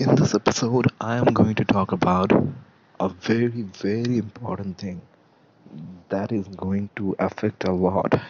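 With long, frequent pauses, a man speaks at a fairly low pitch and a moderate pace. His intonation is fairly even, and there is noticeable background noise. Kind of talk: solo commentary podcast.

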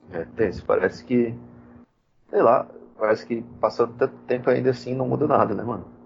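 Long pauses come often as this man speaks. Between them, his delivery keeps a moderate pace. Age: 30s. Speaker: computer science student and podcast co-host. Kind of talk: casual chat.

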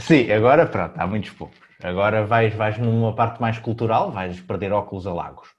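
At a moderate pace, a normal speaking voice carries ordinary pitch variation. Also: man, fairly low pitch for a man. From Portugal. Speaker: podcast host. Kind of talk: casual chat.

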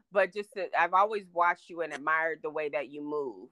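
A woman speaks in a normal speaking voice, at a fairly quick pace and a fairly low pitch. The recording is very clean with a silent background, and the sound is dry and close with no echo. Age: 50s. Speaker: podcast guest. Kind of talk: casual chat.

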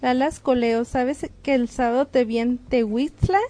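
In a northern Mexican accent, a woman talks at a fairly slow pace with a high pitch and a dark, mellow tone. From northern Mexico. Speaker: radio guest. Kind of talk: radio call-in show.

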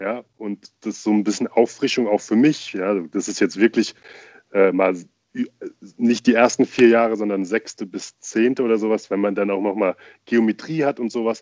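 At a moderate pace, a man uses a plain, everyday voice, fairly low in pitch with fairly even intonation, in a dry, close sound with no echo. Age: young. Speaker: podcast co-host, father. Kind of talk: casual chat.

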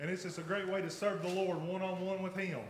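The speaker has a Southern US accent. There is noticeable background noise. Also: man. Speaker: pastor. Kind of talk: sermon. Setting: church.

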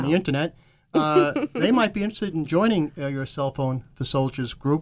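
In an American accent, a man speaks with lively intonation. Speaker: radio talk show co-host. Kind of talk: broadcast presenter style. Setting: radio studio.

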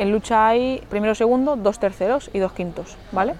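With noticeable background noise behind her, a woman speaks at a fairly quick pace and with fairly even intonation. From Mallorca, Spain. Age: 20s. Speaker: Olympic wrestler. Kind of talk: casual interview. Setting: outdoors in a forest.

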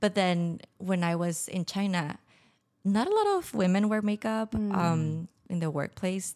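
Fairly slow speech in a Spanish accent. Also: woman, medium pitch for a woman, fairly even intonation. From Mexico (Tijuana). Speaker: podcast guest, former expat. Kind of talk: casual interview.

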